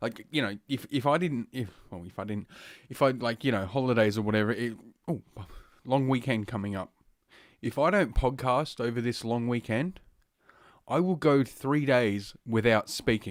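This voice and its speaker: With an Australian accent, a man talks at a moderate pace and medium pitch, using ordinary pitch variation and leaving long, frequent pauses. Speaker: podcast host. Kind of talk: casual podcast monologue. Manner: heavy breathing through nose.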